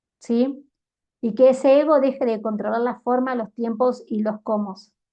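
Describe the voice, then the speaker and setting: A woman with a Cordoban Argentine accent speaks fairly slowly at a fairly high pitch, with ordinary pitch variation. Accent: Argentine Spanish (Córdoba), voseo. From Argentina, Córdoba. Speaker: life coach and YouTuber. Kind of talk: motivational monologue.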